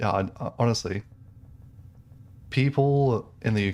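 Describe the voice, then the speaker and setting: With a British accent, a man speaks using ordinary pitch variation. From England. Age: 20s. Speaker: gaming streamer. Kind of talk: casual chat. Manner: casual, many fillers and restarts.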